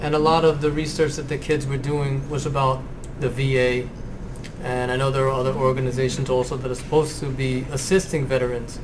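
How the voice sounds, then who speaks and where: There is noticeable background noise as a man with a fairly high pitch speaks at a fairly quick pace. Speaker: school librarian, podcast host. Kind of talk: interview questions.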